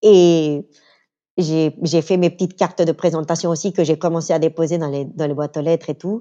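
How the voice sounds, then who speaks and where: At a moderate pace, a woman with a fairly low, dark, mellow voice and fairly even intonation speaks in a dry, close sound with no echo against a quiet background. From Venezuela. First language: Spanish (speaking French). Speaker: interview guest, communications worker. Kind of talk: casual interview chat. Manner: halting.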